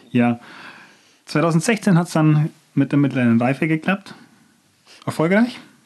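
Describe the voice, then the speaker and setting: The speech moves at a fairly slow pace with long, frequent pauses. Intonation is lively while loudness stays very even. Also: man, fairly high pitch for a man. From Bavarian Swabia, near Nördlingen. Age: 20s. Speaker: marketing student and trainee. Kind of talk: casual chat.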